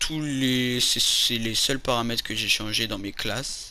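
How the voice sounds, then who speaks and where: A man at medium pitch speaking at a very slow pace over noticeable background noise. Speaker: gaming YouTuber. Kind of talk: gameplay tutorial. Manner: stutters, loses words; casual, hesitant with fillers.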